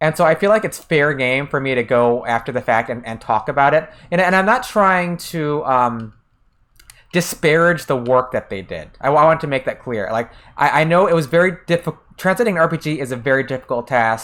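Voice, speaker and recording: The speaker, with an American accent, moves at a fairly quick pace in a very clean recording with a silent background. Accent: American accent when speaking Japanese. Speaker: game streamer. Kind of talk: casual livestream chat. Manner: hesitant, many fillers and restarts.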